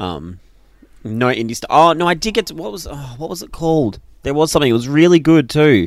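Fairly high in pitch, a man with an Australian accent talks with lively intonation and big swings in loudness. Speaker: podcast co-host. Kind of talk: casual chat.

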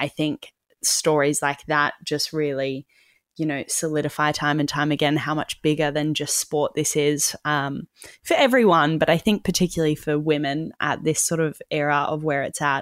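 A woman's very deep, low-pitched voice in a monotone, flat intonation at a moderate pace, with a dry, close sound and no echo. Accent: Australian. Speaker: podcast co-host. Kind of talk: casual chat. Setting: remote call.

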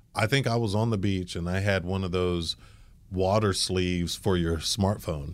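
A man with a very deep, low pitch speaks at a moderate pace with fairly even intonation. The recording is very clean, with a silent background. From grew up between Germany, the US and England. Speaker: marketing executive. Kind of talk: interview.

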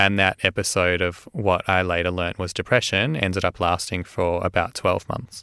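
A man's very deep, low voice in an Australian accent, bright and sharp in tone, at a moderate pace with hardly any pauses, dry and close with no echo, on a very clean recording over a silent background. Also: fairly even intonation. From Australia, Melbourne (Caulfield). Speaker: medical doctor and mental health advocate. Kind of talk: interview testimony.

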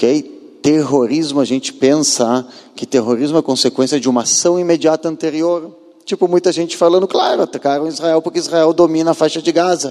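A man with an ordinary speaking voice and a fairly high pitch delivers his words at a moderate pace, his pitch varying in an ordinary way. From southern Brazil, Porto Alegre. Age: 40s. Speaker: former soldier and tour guide giving a talk. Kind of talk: lecture.

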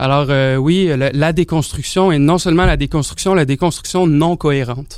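Speaking at a moderate pace with hardly any pauses, a man with a fairly high voice keeps fairly even intonation and very even loudness. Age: young. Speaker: sociology doctoral student. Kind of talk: panel discussion. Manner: hesitant, many fillers.

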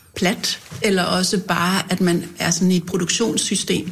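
Monotone, flat intonation marks a somewhat breathy woman speaking at a medium pitch. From North Zealand, Denmark. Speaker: politician and bookseller. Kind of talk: casual chat. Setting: studio.

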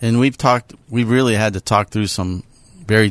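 Speaking at a fairly quick pace with an American accent, a man uses a normal speaking voice with fairly low pitch and ordinary pitch variation, the sound dry and close with no echo. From Pittsburgh, Pennsylvania (North Hills). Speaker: business executive and CEO peer group chair. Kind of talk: interview. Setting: studio.

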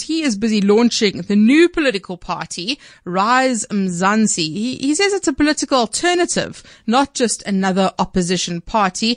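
A woman with a South African accent, her pitch fairly high, her intonation lively and her pace moderate, against a quiet background. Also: dry, close sound with no echo. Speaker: radio news host. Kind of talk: news interview show.

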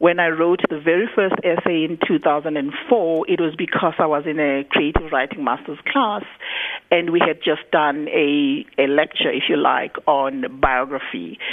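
Over noticeable background noise, a woman with a fairly low pitch speaks at a fairly slow pace with lively intonation. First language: Zulu. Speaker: poet and writer, university lecturer. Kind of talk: radio interview. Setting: radio studio.

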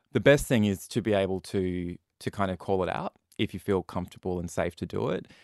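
Against a quiet background, a man with an Australian accent and a very deep, low pitch talks at a fairly quick pace with ordinary pitch variation, the sound dry and close with no echo. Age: 30s. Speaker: youth mental health charity representative. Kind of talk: interview.

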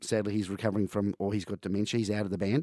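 Recorded with a dry, close sound with no echo on a very clean recording with a silent background, a man speaks at a fairly low pitch. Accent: Australian. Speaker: music bar owner. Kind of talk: casual chat.

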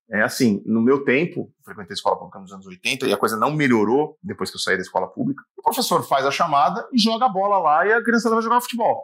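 A man talks at a very fast pace with hardly any pauses, his fairly high pitch making very wide swings. His loudness rises and falls in big swings. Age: 40s. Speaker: sports commentator. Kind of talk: interview.

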